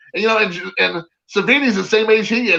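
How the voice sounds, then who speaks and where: An animated man with a raised, projected voice, high pitch and ordinary pitch variation. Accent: American. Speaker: autograph collector. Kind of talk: casual chat. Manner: animated storytelling.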